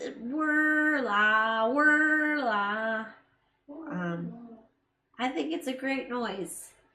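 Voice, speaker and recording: Fairly high in pitch with a bright, sharp tone, a woman speaks with an American accent, lively intonation, and a very slow pace amid audible room echo. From USA. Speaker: live stream co-host, filmmaker. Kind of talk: casual chat. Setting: live stream.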